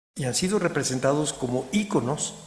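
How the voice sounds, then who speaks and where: Audible room echo surrounds a man speaking with a fairly high pitch. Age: 60s. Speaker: historian, museum director. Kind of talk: lecture. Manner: halting.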